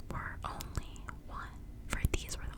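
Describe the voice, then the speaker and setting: A woman's soothing whisper at a very slow pace, over noticeable background noise. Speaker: ASMR creator. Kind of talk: bedtime story reading, ASMR. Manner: whispered, soothing.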